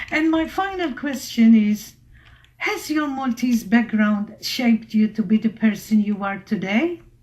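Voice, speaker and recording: A woman at a fairly high pitch with lively intonation, at a fairly slow pace. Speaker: radio host. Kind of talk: radio interview. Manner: loud.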